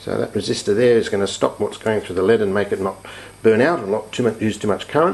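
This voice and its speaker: Through noticeable background noise, a man speaks very fast at a fairly low pitch with ordinary pitch variation. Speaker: hobbyist electronics teacher. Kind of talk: tutorial.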